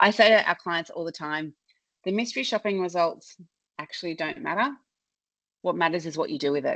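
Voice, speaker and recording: Against a quiet background, a woman with an Australian accent speaks at a fairly quick pace in a fairly low pitch, with long, frequent pauses. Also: lively intonation. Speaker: customer service consultant. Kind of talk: webinar presentation. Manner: loud.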